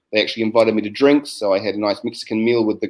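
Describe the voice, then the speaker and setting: A man talks at a very fast pace in a New Zealand accent. His pitch is medium. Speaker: science educator. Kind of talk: webinar presentation. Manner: hesitant, many fillers.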